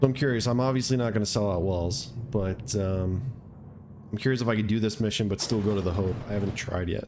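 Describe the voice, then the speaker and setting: Very fast delivery at very even loudness, with fairly even intonation and audible room echo. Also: man, fairly low pitch for a man. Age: 30s. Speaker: gamer streamer. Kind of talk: let's play commentary.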